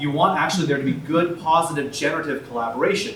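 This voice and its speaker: Audible room echo alongside noticeable background noise. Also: man. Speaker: tech company co-founder and CTO. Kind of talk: panel talk at a meetup. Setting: stage with audience at a meetup. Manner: loud.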